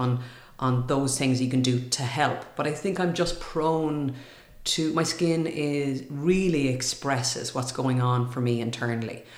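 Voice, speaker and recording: Over noticeable background noise, a woman talks in a very deep, low pitch with fairly even intonation. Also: very even loudness. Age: 40s. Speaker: TV presenter and speaker. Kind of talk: casual interview chat.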